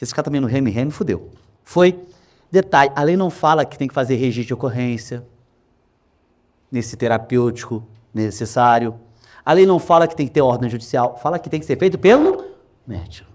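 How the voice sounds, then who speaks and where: A man with a medium pitch speaks at a fairly quick pace in an animated tone, his intonation lively. The recording is very clean with a silent background, and his pauses are long and frequent. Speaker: law professor. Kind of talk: lecture. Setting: classroom with live audience. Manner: fast.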